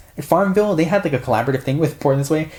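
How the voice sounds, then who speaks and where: The speech moves at a very fast pace. Noticeable background noise runs underneath it. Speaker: YouTuber. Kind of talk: casual monologue. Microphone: audio delay, off-axis laptop.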